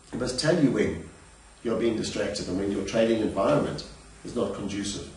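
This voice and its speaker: The man speaks at a fairly quick pace. Background noise is noticeable. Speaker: trading educator. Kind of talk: instructional talk.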